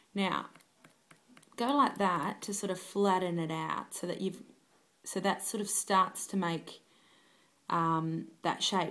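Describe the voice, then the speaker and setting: A woman's bright, sharp voice sits at a medium pitch with vocal fry. She speaks at a fairly slow pace. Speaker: cake decorator. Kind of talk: cake decorating tutorial. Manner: casual, hesitant.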